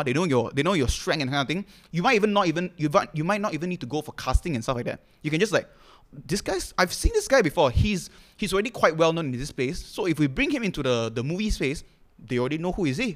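Rattling along at a very fast pace, a man speaks in an animated tone with lively intonation and a fairly high pitch. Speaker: content creator and comedian. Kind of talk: casual chat.

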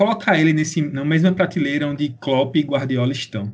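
A man speaks in a somewhat breathy voice. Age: 20s. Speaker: sports podcast co-host. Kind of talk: casual chat.

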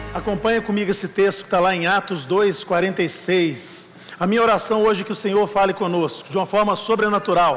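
With audible room echo and noticeable background noise, a man talks at a moderate pace in a high pitch. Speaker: pastor. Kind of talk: sermon. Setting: church.

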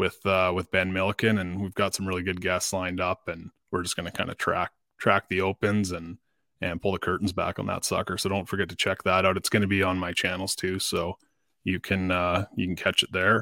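Against a very clean, silent background, a man with a Canadian accent and a very deep, low pitch speaks at a fairly quick pace in a monotone, flat way, his tone bright and sharp, the sound dry and close with no echo. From Canada, northwestern Ontario. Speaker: podcast host and tournament angler. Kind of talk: casual interview chat.

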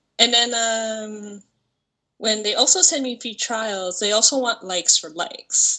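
Delivered at a fairly slow pace, an ordinary speaking voice shows big swings in loudness and ordinary pitch variation. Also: woman, fairly high pitch for a woman. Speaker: part-time stripper and online creator. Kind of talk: casual chat.

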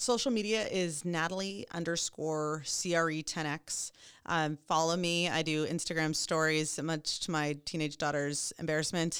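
In a normal speaking voice, a woman talks at a fairly slow pace with a fairly low pitch and fairly even intonation, on a very clean recording with a silent background. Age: 40s. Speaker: commercial real estate broker. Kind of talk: interview.

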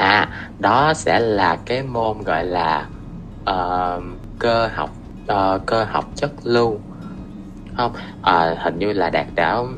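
A man's fairly low voice with ordinary pitch variation, at a very slow pace with long, frequent pauses and music in the background. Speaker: engineering student. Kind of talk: casual interview.

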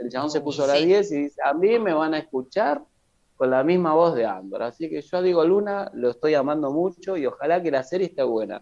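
With an ordinary speaking voice, a man talks at a fairly quick pace, his pitch fairly high and his intonation lively. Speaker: podcast co-host. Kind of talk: casual chat.

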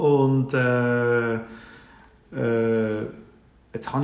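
A man speaks at a medium pitch. Noticeable background noise and audible room echo fill the recording. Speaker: IT business owner. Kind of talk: casual interview chat. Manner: halting, many fillers.

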